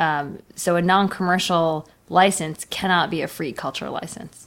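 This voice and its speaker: A woman with an unremarkable speaking voice talks at a fairly slow pace. Her fairly low pitch shows ordinary variation in a very clean recording with a silent background. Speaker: podcast co-host. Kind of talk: casual conversational podcast.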